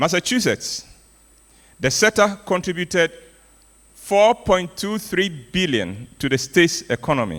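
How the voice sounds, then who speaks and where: A man's high-pitched voice, fairly slow, with lively intonation, long and frequent pauses, and a dry, close sound free of echo. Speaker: storyteller and arts speaker. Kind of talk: keynote speech. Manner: animated.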